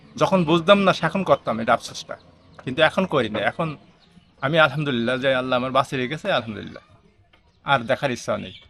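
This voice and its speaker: A man speaks in a normal speaking voice at a fairly high pitch. His intonation is lively and his loudness swings widely. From Bangladesh, Chuadanga district. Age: 50s. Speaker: blind mechanic and electrician. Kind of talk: interview.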